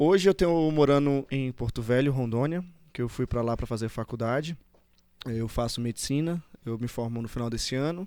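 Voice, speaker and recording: His tone comes across dark and mellow. The recording is very clean, and the background is silent. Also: medium pitch for a man, ordinary pitch variation, moderate pace. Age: 20s. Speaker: medical student. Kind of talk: podcast interview.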